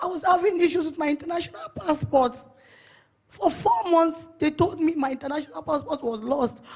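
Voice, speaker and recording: The speaker has a Nigerian accent and talks at a fairly quick pace. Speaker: church member giving testimony. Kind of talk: testimony. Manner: emotional.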